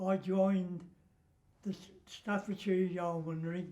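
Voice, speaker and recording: A man's high-pitched, monotone, flat voice at a very slow pace. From British. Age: 80s+. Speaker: war veteran. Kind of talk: interview answer.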